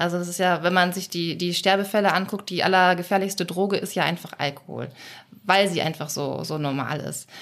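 The woman has an unremarkable speaking voice with fairly low pitch. She talks at a fairly quick pace. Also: fairly even intonation. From Schleswig-Holstein, Germany. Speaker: podcast host. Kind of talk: interview.

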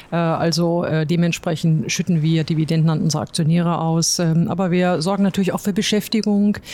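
Against noticeable background noise, a woman talks at a fairly low pitch and a fairly quick pace, with very even loudness and fairly even intonation. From Ruhr area, Germany. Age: 50s. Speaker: logistics company chief executive. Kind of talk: interview. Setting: company office.

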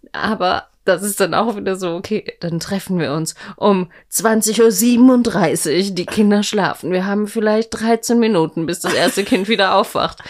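Her delivery is fairly slow with hardly any pauses, as the woman speaks at a medium pitch with ordinary pitch variation. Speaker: podcast co-host, mother. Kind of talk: casual chat.

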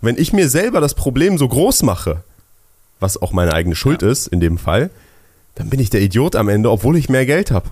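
Talking at a fairly quick pace, a man shows vocal fry, very wide pitch swings and very even loudness. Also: medium pitch for a man. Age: 20s. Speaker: podcast co-host, young entrepreneur. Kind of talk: casual chat.

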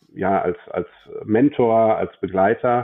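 A man's fairly low voice, with ordinary pitch variation, unfolds at a very slow pace. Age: 40s. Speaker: bank branch manager and business coach. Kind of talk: interview.

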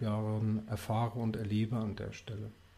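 Somewhat breathy, this male voice comes through clearly. Its tone is dark and mellow. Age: 40s. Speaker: wine bar founder, former insurance employee. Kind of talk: interview.

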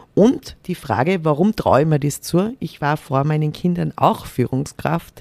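The woman speaks at a fairly slow pace, the sound dry and close with no echo. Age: 40s. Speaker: corporate diversity manager. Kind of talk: interview.

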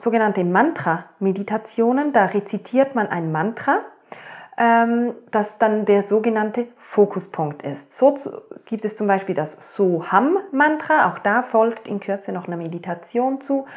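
With lively intonation, a woman speaks at a fairly slow pace in an unremarkable speaking voice, her pitch fairly high. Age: 30s. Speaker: podcast host, mindset coach. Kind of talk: solo podcast monologue.

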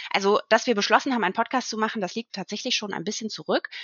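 A fairly high-pitched woman at a very fast pace. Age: 30s. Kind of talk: casual chat.

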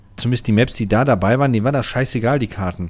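Heard on a very clean recording with a silent background, a man has a plain, everyday voice of medium pitch and ordinary pitch variation. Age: 30s. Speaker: gaming podcast co-host. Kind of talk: casual chat.

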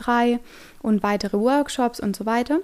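Her pace is moderate. This woman's high voice shows ordinary pitch variation. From Stuttgart, Germany. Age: 20s. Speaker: yoga teacher. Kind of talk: podcast monologue.

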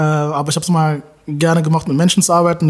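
Here a man speaks with a fairly high pitch at a moderate pace. It is an ordinary speaking voice. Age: 30s. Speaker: creative director. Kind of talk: casual interview.

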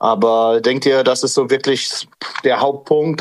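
A man's medium-pitched voice stays monotone and flat at a moderate speed. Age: 40s. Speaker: listener calling in. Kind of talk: casual chat. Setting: online audio call.

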